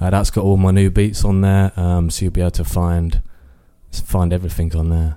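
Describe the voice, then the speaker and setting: A man with an East Midlands accent and a very deep, low pitch, in a dark, mellow tone at a fairly quick pace, with fairly even intonation and very even loudness, on a very clean recording with a silent background. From Northampton, England. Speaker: music producer. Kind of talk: interview. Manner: halting.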